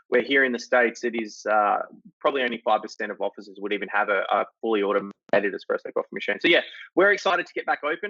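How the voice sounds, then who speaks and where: Very fast male speech with big swings in loudness. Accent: Australian. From Australia. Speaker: company CEO. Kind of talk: interview. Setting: video call.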